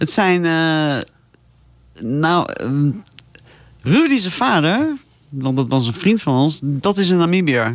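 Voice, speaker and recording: The delivery is very slow, with long, frequent pauses, very wide pitch swings and very even loudness. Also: woman, very deep, low pitch for a woman. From South Africa (moved from eastern Netherlands at age 8). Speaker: safari traveller, radio guest. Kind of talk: casual interview chat.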